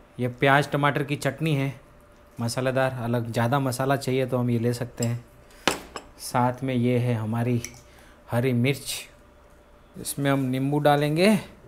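Noticeable background noise runs under a man's medium-pitched voice, which has fairly even intonation and long, frequent pauses. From Rajasthan, India. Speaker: vlogger. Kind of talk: casual vlog narration. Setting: at home.

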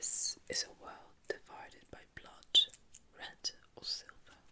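Someone is whispering. The pace is very slow. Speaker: ASMR creator. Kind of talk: reading book blurb.

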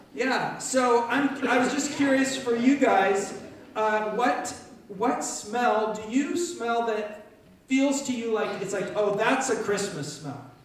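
A man talks at a very slow pace in an extremely high pitch with ordinary pitch variation, over strong room echo and light background noise. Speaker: pastor leading children's talk. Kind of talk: children's sermon. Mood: warm, playful.

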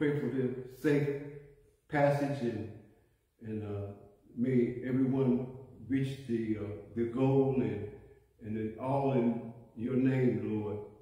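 The speech moves at a very slow pace with fairly even intonation. Strong room echo fills a quiet background. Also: man. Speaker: church prayer leader. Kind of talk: fervent prayer. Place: church. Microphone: phone near.

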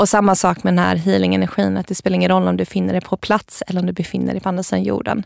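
A woman speaks at a very fast pace. The recording is dry and close, with no echo. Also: hardly any pauses. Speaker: podcast founder and spiritual practitioner. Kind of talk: casual interview. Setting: studio.

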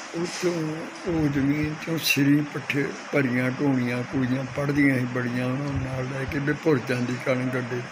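The speech is delivered in a monotone, flat intonation over noticeable background noise. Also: man. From Punjab, India. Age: 80s+. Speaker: marathon runner. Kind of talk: interview answer. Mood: reminiscing about old rural life. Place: home room. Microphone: phone near.

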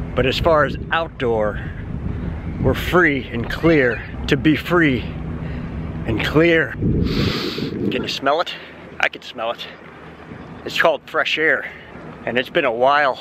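Speaking very slowly, a man leaves long, frequent pauses and shows ordinary pitch variation. The sound is dry with no echo, though background noise is noticeable. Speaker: theme park vlogger. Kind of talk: casual vlog chat. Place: street. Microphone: phone near.

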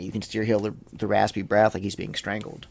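Talking at a very fast pace, a man with an American accent uses a fairly low pitch with vocal fry. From North Carolina, USA. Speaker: paranormal investigator and tour guide. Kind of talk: interview answer.

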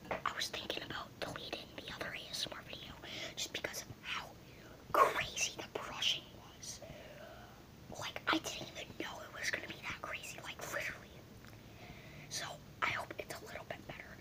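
Someone whispers at a fairly quick pace with long, frequent pauses. Noticeable background noise is present. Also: man. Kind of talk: ASMR video. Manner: whispered.

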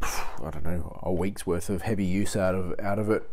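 A man with an unremarkable speaking voice talks at a moderate pace in a fairly low pitch. Light background noise can be heard. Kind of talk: casual workshop tour commentary. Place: workshop. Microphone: phone near.

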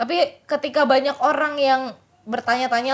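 A woman at a fairly quick pace, with an animated tone. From Indonesia. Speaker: esports podcast host; esports show host. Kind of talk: casual chat. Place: studio. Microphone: studio mic.

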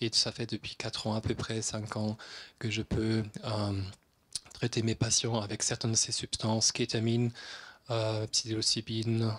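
With a German accent, a man speaks at medium pitch in a somewhat breathy voice, leaving long, frequent pauses. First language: German (speaking French). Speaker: psychiatrist; conference speaker. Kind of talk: lecture. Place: hall. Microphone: handheld.

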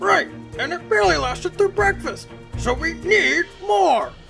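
A man's raised, projected voice at a moderate pace over clear music in the background. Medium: machinima. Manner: irritable, blustering.

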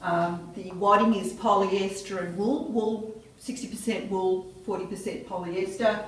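A woman speaks at a very slow pace with hardly any pauses. Her intonation is fairly even, and audible room echo surrounds her voice. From Australia. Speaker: quilter, exhibiting artist. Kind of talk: gallery walkthrough talk. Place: hall. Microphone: camera far.

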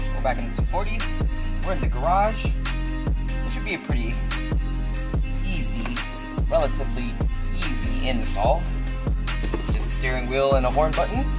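A man at a moderate pace with long, frequent pauses, over loud music in the background. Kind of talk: casual vlog chat. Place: garage.

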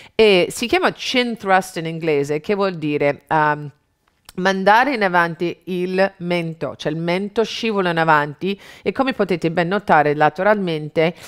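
A woman talks at a fairly slow pace in an ordinary speaking voice with a fairly low pitch. Her pitch variation is ordinary, and the background is quiet. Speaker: fitness instructor. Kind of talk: tutorial. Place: studio.

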